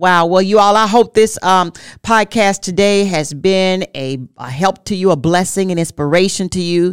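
A woman's medium-pitched voice, a plain, everyday voice, at a moderate pace with ordinary pitch variation, in a very clean recording with a silent background. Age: 50s. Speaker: marriage podcast co-host. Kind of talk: casual chat.

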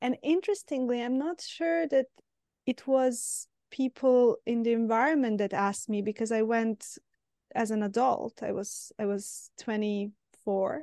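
In a Serbian accent, a woman speaks fairly slowly at a fairly high pitch, her tone dark and mellow, in a dry, close sound with no echo. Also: ordinary pitch variation. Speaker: podcast host, psychotherapist. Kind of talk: interview. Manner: halting.

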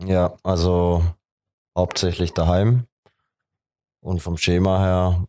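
A man speaks very slowly in a very deep, low voice, dark and mellow, with monotone, flat intonation and long, frequent pauses. The sound is dry and close with no echo, over a quiet background. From Heilbronn, Germany. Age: 20s. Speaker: techno DJ. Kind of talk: casual interview.

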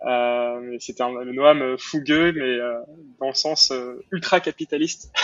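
Speaking very slowly, a man keeps fairly even intonation. His pitch sits in the medium range. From Montreal, Quebec. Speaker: entrepreneur. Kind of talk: interview. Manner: halting, frequent repetitions and fillers.

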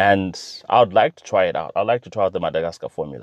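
A man speaks at a fairly quick pace in an animated tone. His pitch swings very widely, and the sound is dry and close with no echo. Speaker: podcast host. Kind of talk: solo commentary monologue. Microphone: sound not as good as he'd like.

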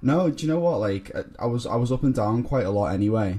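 Speaking very fast with a Liverpool accent, a somewhat breathy man with a dark, mellow tone shows ordinary pitch variation. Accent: Scouse (Liverpool). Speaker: guest. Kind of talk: casual chat.

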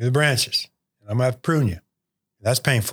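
On a very clean recording with a silent background, a man with an American accent speaks in a somewhat breathy voice with fairly even intonation. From Michigan, near Bay City. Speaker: retired mortgage company CEO and hunter. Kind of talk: casual interview chat.

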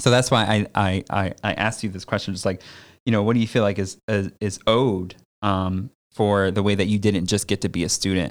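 A man's plain, everyday voice, fairly low in pitch, with fairly even intonation and a fairly quick pace, in a very clean recording with a silent background. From Connecticut suburbs. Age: 30s. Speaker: podcast host, academic. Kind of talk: casual interview. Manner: casual, lots of fillers.

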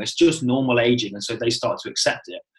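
A man speaks very fast at a medium pitch. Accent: British. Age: 30s. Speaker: personal trainer educator. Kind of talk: interview.

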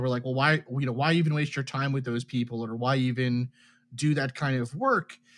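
A man with an unremarkable speaking voice, fairly high-pitched. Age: 30s. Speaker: chemical engineer and UFO research project member. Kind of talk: interview.

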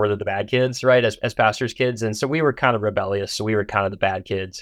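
A man with an American accent speaks at a fairly low pitch with fairly even intonation. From US Midwest. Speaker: novelist. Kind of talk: interview. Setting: studio.

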